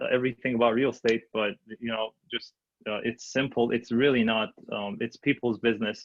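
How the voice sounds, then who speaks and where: With a non-native accent, a man talks at a moderate pace in a medium pitch. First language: not English. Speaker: new real estate agent and investor. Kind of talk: panel discussion. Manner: halting, many fillers.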